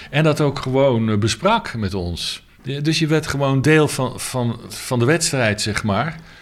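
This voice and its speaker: At a very slow pace, a man speaks at a medium pitch with lively intonation. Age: 60s. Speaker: jazz saxophonist. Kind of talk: interview. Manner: halting.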